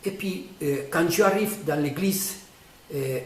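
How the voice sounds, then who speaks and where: A man with high pitch and a non-native accent at a very slow pace, amid noticeable background noise and audible room echo. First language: not French (speaking French). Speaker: painter explaining his own artwork. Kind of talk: casual explanation of a painting. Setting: artist's studio. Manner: halting, many hesitations.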